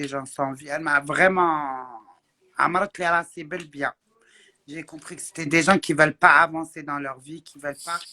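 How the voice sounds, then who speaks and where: A woman speaks with a very deep, low pitch, ordinary pitch variation and a bright, sharp tone, at a fairly slow pace with long, frequent pauses. Her loudness swings widely, and the sound is dry and close with no echo. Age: 40s. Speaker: social media influencer. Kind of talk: casual chat.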